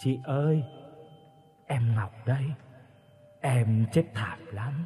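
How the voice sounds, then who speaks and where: Faint music plays in the background as a man uses a put-on character voice at medium pitch and a fairly slow pace. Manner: eerie.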